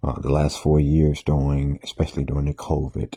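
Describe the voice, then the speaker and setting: A man speaks softly at a very deep, low pitch, in a flat monotone. The sound is dry and close, with no echo. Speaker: minister sharing morning reflections. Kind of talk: informal talk monologue. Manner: soft, laid back; halting with fillers.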